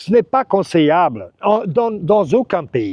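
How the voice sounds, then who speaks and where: Pitch swings very widely as the words come at a fairly slow pace. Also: man. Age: 60s. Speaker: real estate agent and expat advice vlogger. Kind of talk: advice vlog monologue. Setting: outdoors by a lagoon. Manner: casual, with hesitations and false starts.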